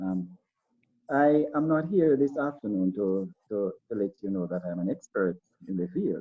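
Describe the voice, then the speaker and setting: A man speaks at a moderate pace in a Jamaican accent. His pitch swings very widely. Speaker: school principal or educator on a panel. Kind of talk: panel discussion. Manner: halting with frequent repetitions.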